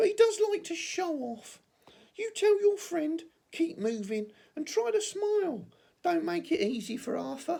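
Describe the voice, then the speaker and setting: Putting on a character voice, a man speaks at a moderate pace in an extremely high pitch with a warm tone. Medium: read story. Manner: warm, friendly.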